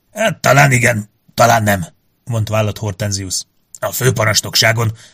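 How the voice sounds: Fairly even intonation in a natural reading voice, the background quiet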